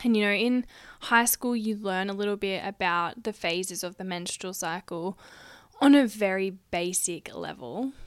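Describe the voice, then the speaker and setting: With an Australian accent, a woman speaks at a moderate pace and medium pitch with ordinary pitch variation in a very clean recording with a silent background. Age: 20s. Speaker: podcast host, dietitian and sexologist. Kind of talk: solo podcast monologue. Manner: casual, chatty.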